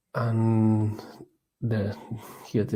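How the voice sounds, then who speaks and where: In a Catalan accent, a man speaks at a medium pitch with a dark, mellow tone that is somewhat breathy. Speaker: research scientist presenting a course. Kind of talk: tutorial. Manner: halting, many fillers and repetitions.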